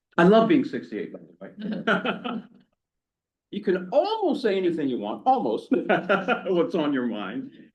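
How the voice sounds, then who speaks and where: A man's high voice with very wide pitch swings at a fairly slow pace, plus audible room echo. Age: 60s. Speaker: tech worker, guest speaker. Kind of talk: talk to a church adult education class. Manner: conversational, casual.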